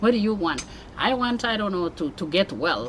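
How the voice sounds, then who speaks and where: A woman with a Kenyan accent speaks at a very fast pace with lively intonation amid noticeable background noise. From Kenya (Mombasa). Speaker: immigrant mother sharing life story. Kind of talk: interview testimony. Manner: animated.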